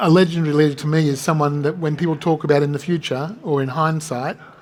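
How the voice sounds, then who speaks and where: This man's voice sits fairly high in pitch. His intonation is monotone and flat. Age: 60s. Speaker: game studio founder. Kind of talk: fireside chat interview. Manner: halting.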